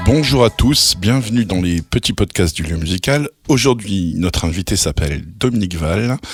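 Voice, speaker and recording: A man's very deep, low voice, somewhat breathy and fairly slow, with lively intonation, in a dry, close, echo-free and very clean recording against a silent background. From northern France (Nord). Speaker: podcast host. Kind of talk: casual interview chat.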